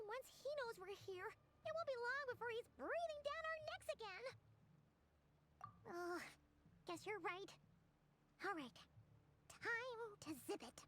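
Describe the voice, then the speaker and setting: A woman puts on a character voice at an extremely high pitch with very wide pitch swings. She keeps a moderate pace, broken by long, frequent pauses. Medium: video game. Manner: nervous, breathy exclamations.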